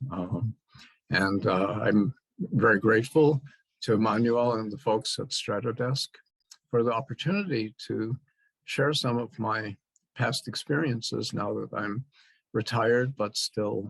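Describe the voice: A man speaks at a fairly slow pace in a fairly low voice with a slightly husky edge and vocal fry. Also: ordinary pitch variation.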